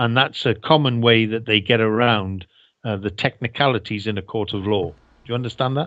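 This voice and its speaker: This man has a Welsh accent and a medium pitch with ordinary pitch variation. He talks at a fairly quick pace. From Wales. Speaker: ex-air force engineer. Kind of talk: interview.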